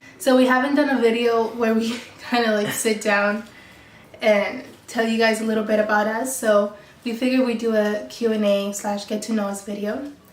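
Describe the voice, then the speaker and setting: A woman with an American accent, fairly high-pitched, flat and monotone, at a moderate pace, with noticeable background noise and audible room echo. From Mexico then Colorado and San Diego, California. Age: 20s. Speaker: YouTuber. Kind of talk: casual chat.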